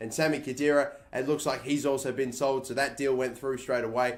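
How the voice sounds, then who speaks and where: With an Australian accent, a man speaks at a fairly quick pace in a medium-pitched voice, with audible room echo. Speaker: gaming YouTuber. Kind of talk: gameplay commentary. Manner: casual, conversational.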